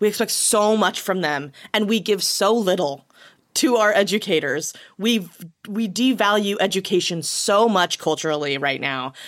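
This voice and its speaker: A woman with an American accent talks in a normal speaking voice at a medium pitch. Her pace is moderate and her intonation lively. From small US town. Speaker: comedy writer and actor. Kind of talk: casual chat.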